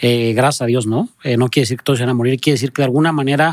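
A man talks at a very fast pace with a medium pitch and ordinary pitch variation. The sound is dry and close with no echo. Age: 30s. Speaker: charity founder. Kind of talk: casual interview.

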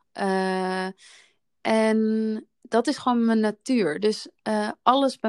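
Her voice, a woman's, is fairly high with fairly even intonation. The sound is dry and close with no echo, on a very clean recording with a silent background. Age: 30s. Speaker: podcast host, wellbeing business co-founder. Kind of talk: casual chat.

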